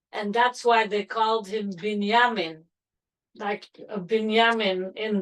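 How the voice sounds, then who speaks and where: A fairly slow pace in a French accent. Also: woman. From Belgium, Antwerp. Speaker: grandmother interviewee. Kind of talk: family oral-history interview.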